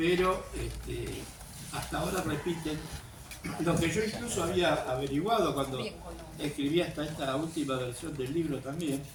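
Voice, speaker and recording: Amid noticeable background noise and audible room echo, a man speaks at a moderate pace, fairly high in pitch, with ordinary pitch variation. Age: 70s. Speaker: author and historian. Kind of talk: talk to a class. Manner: hesitant, many fillers.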